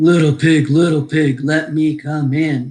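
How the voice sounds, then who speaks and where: A woman's put-on, growling character voice, very deep and low, monotone and flat, at a fairly slow pace. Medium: read story. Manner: sly, smooth-talking.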